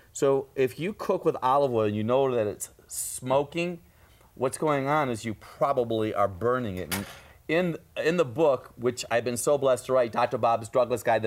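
The very clean recording, with its silent background, captures a man in a normal speaking voice at medium pitch, talking at a moderate pace with lively intonation. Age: 60s. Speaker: natural health doctor. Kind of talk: TV health talk show.

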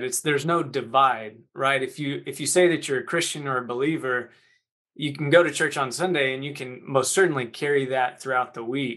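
Against a quiet background, a man with an American accent talks at a fairly quick pace, his fairly high voice bright and sharp in tone. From North Texas. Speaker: former college baseball player. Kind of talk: interview.

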